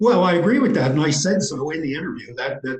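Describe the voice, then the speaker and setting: A man with an American accent has a dark, mellow tone that is somewhat breathy. Room echo is audible. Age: 60s. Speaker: interview guest, writer. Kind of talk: interview.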